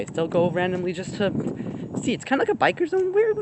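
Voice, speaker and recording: A very fast pace over noticeable background noise. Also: man. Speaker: vlogger. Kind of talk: casual vlog talk. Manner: rambling, hesitant.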